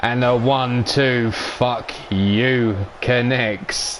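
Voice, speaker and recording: Noticeable background noise is present. The speaker's intonation is fairly even. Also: man. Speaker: live-stream wrestling commentator and host. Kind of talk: live wrestling commentary.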